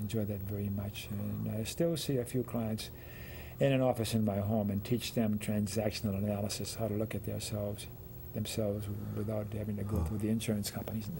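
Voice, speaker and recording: This man has a fairly low, somewhat breathy voice with a dark, mellow tone. He talks at a fairly quick pace with fairly even intonation. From New Orleans. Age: 80s+. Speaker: psychotherapist. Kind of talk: interview answer.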